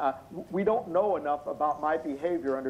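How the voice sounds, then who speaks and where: Lively intonation at a moderate pace. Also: man. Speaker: expert witness. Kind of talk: testimony. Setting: video call. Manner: loud; halting.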